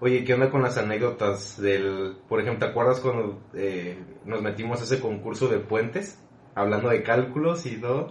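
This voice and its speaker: Audible room echo surrounds a man's medium-pitched voice as he talks at a moderate pace with ordinary pitch variation. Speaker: podcast host, civil engineer. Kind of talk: casual chat.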